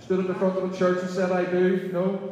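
There is strong room echo as a man speaks at a high pitch, with light background noise. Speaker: minister. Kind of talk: sermon. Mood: warm, light-hearted. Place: church. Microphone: camera far.

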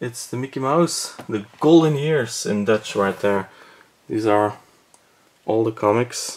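A man with a Belgian accent at a very slow pace, ordinary pitch variation, and long, frequent pauses. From Belgium. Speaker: movie collector, cinema projectionist, video blogger. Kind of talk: casual video tour. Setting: indoors at home, video recording in room. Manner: enthusiastic, slightly hesitant with repeated words. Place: home room. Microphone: phone near.

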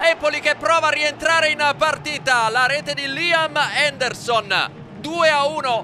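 A man's raised, projected voice at an extremely high pitch, fairly slow in pace, with crowd noise in the background. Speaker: match commentator. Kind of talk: live match commentary, recapped in highlights voiceover. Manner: clipped, punchy play-by-play delivery.

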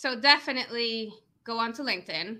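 A woman with an American accent speaks in a high pitch, her tone bright, sharp and bubbly. The recording is very clean with a silent background. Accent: sounds American. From Venezuela. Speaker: lead generation business owner. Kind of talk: casual interview chat.

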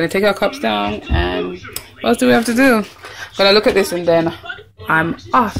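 A woman speaks at a moderate pace with very wide pitch swings, music playing in the background. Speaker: travel vlogger. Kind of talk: casual vlog chat. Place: home room. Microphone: phone near.

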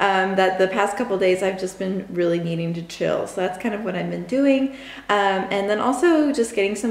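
The room echo is audible. A woman delivers her words at a moderate pace. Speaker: travel vlogger. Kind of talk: casual vlog chat. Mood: cheerful, relaxed. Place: home room. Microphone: phone near.

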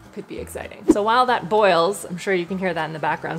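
A woman speaks with ordinary pitch variation over faint background music. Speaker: product review vlogger. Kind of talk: casual vlog chat. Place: kitchen.

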